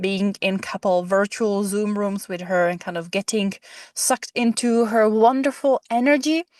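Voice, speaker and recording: A woman with an unremarkable speaking voice talks at a medium pitch and a moderate pace. The sound is dry and close with no echo, over a quiet background. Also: ordinary pitch variation. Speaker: podcast host. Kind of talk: podcast interview questions.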